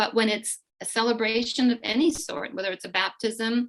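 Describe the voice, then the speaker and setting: Here a woman talks with a fairly high pitch. Her pace is moderate. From eastern Slovakia, then Canada from age nine. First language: Slovak. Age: 60s. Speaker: immigrant sharing family story. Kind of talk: interview.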